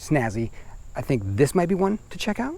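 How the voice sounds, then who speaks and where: A man with very wide pitch swings. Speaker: e-bike reviewer. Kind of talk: product review. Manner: fast; casual.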